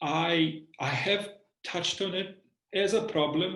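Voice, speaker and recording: Somewhat breathy, a man speaks with a Bosnian accent. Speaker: university lecturer. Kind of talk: reflective interview. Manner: halting, many repetitions and fillers.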